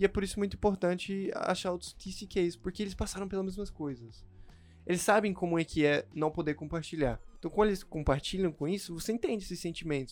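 Music plays in the background as a man speaks in a high voice at a fairly quick pace. His pitch varies in an ordinary way. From Chile and the Philippines. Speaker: pharmacy student. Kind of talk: casual chat.

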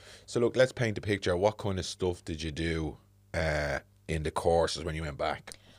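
A man's very deep, low voice at a moderate pace, in a very clean recording with a silent background. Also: ordinary pitch variation. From Dublin inner city (the Liberties). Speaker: podcast host. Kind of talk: casual interview chat. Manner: animated, laughing.

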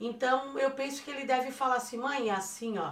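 With a Florianópolis accent and a fairly high pitch, a woman speaks amid audible room echo. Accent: Florianópolis (manezinho). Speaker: podcast co-host, mother of the hosts. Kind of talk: casual chat.

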